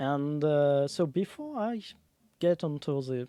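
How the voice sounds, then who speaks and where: On a very clean recording with a silent background, a man with a French accent speaks at a fairly high pitch with lively intonation. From France. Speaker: streamer. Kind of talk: casual live stream talk. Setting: live stream. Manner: halting.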